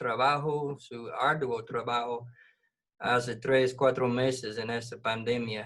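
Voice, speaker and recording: Very slowly and at medium pitch, a man speaks with an English accent. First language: English (speaking Spanish). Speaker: missions coordinator. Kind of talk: devotional talk in a video meeting.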